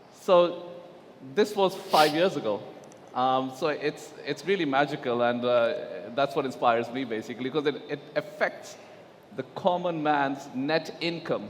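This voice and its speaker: Over noticeable background noise, a man speaks fairly slowly at a fairly high pitch with ordinary pitch variation. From Pakistan. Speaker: digital asset executive on panel. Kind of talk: conference panel discussion. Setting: stage at blockchain conference.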